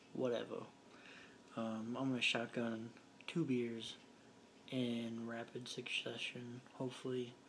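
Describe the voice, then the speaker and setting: A quiet man at a medium pitch, fairly slow and monotone, with long, frequent pauses. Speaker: vlogger. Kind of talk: casual vlog. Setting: home living room.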